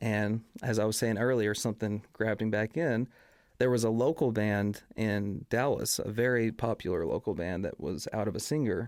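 A man with an American accent speaks at a moderate pace, with fairly low pitch and ordinary pitch variation. The recording is very clean, with a silent background. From East Texas. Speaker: singer and band frontman. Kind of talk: casual chat. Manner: calm.

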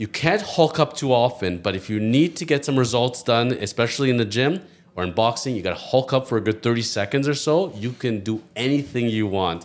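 A man with a plain, everyday voice speaks at a medium pitch with lively intonation and hardly any pauses. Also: fairly quick pace. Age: 40s. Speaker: lawyer. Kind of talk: casual chat.

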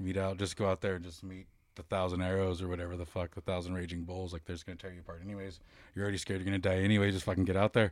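A man with an American accent speaks at a very fast pace in a very deep, low pitch, his intonation monotone and flat. The recording is very clean, with a silent background. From US West Coast. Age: 30s. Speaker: rock band vocalist. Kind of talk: casual chat.

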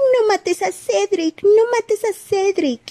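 A put-on character voice, squeaky and whiny, at an extremely high pitch and a fairly slow pace. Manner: whiny, whimpering, mocking.

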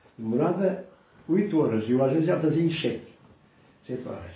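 Lively intonation from a man, somewhat breathy, with audible room echo. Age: 70s. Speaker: grandfather interviewed about his life. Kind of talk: oral history interview.

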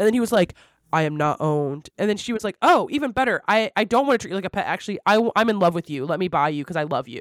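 Very fast and full of very wide pitch swings, a woman speaks in a medium pitch. The sound is dry and close, with no echo. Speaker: podcast host. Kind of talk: casual chat. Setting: office, remote.

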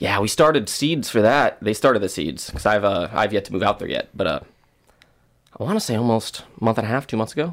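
In an American accent, a man with a normal speaking voice talks at a fairly quick pace, his medium pitch carried by lively intonation. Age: 20s. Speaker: event promoter. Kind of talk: casual chat.

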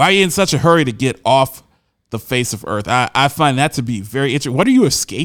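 On a very clean recording with a silent background and a dry, close sound with no echo, a man speaks at a very fast pace with lively intonation. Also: medium pitch for a man. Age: 40s. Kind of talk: solo commentary on news articles.

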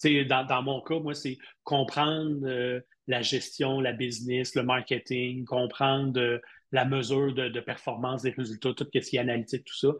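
A man with a Quebec accent talks at a fairly slow pace and a medium pitch, his intonation monotone and flat. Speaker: university lecturer and digital marketing expert. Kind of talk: casual interview.

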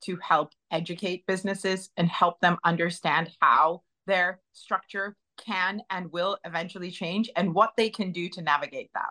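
In an American accent, a woman with an ordinary speaking voice talks at a fairly slow pace, with medium pitch and fairly even intonation. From northeast England, raised mostly in the US. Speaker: AI consultant, business founder. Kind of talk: interview. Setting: podcast studio.

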